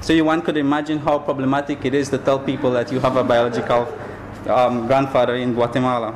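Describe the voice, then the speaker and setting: A man with a Belizean accent talks at a very fast pace in a monotone, flat intonation, at medium pitch and very even loudness. Noticeable background noise runs behind him. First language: Belizean Creole. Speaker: graduate student. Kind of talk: academic presentation.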